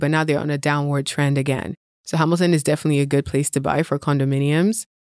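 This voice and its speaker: A woman talking at a fairly quick clip on a very clean recording with a silent background. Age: 30s. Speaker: real estate investor. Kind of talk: casual chat.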